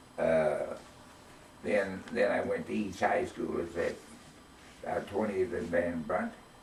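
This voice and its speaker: A man speaks with long, frequent pauses, and both noticeable background noise and audible room echo come through. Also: fairly slow pace. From US Midwest, Kansas City, Missouri. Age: 80s+. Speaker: grandfather telling his life story. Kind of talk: casual family interview.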